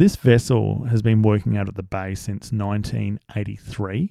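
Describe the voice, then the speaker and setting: With an Australian accent, a man speaks at a fairly slow pace in a dark, mellow tone, the sound dry and close with no echo. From South Australia. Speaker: podcast host. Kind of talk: casual monologue. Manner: hesitant with fillers.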